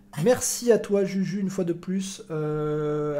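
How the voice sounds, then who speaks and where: A man's intonation stays fairly even amid noticeable background noise. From Marseille. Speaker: football podcast host and streamer. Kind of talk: casual live-stream football chat. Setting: live stream.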